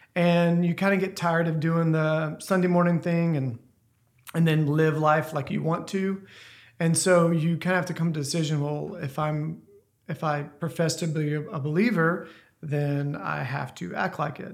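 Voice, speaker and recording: Fairly even intonation at a moderate pace. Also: man, fairly high pitch for a man. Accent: Southern US. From US South, northern Louisiana. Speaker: church member. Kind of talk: testimony.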